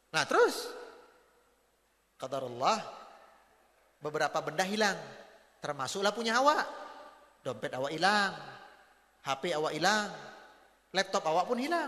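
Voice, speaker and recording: Animated in tone, a man talks at a moderate pace with lively intonation and long, frequent pauses. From North Sumatra (Batak). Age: 40s. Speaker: Islamic preacher. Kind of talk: religious lecture. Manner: animated storytelling.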